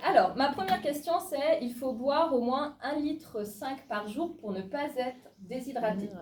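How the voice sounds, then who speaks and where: A woman's high-pitched, lively delivery with hardly any pauses, over noticeable background noise. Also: fairly slow pace. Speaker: naturopathy student leading a workshop. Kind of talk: interactive workshop talk.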